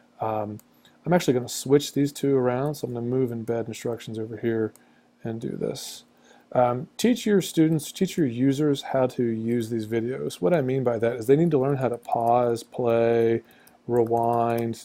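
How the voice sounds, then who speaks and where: On a very clean recording with a silent background, a man with a dark, mellow tone speaks at a moderate pace, using medium pitch and ordinary pitch variation. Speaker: teacher. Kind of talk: tutorial. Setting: screencast recording at a computer. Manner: casual, with fillers and stutters.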